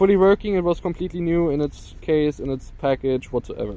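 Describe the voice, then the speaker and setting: A man talks in a German accent with ordinary pitch variation. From Germany. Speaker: FPV drone YouTuber. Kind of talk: casual vlog narration. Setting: outdoors. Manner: casual with frequent fillers.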